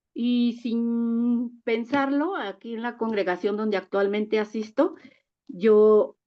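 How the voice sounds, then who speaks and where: A woman speaks very slowly in a fairly high pitch. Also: ordinary pitch variation. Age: 60s. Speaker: church member. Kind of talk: testimony.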